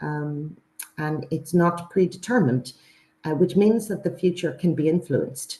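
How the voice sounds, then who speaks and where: A woman's fairly low voice sounds somewhat breathy, with a dark, mellow tone. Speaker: university presenter. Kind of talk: webinar presentation. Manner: halting with many fillers.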